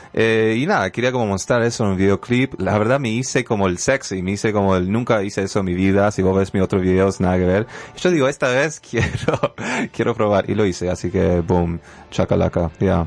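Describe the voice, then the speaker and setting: A man speaks at a fairly quick pace with a fairly low pitch. Noticeable background noise runs under his voice. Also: ordinary pitch variation, very even loudness. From Canada. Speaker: rapper and dancer. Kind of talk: radio interview. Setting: radio studio.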